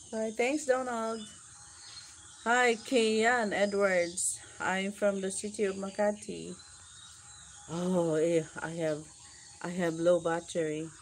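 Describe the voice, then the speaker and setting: A woman with a Filipino accent speaks at a medium pitch with ordinary pitch variation. Her pace is very slow, with long, frequent pauses over light background noise. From Philippines (Mindanao); Philippines. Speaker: vlogger. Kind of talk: live stream chat. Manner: repetitive. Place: garden. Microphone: phone near.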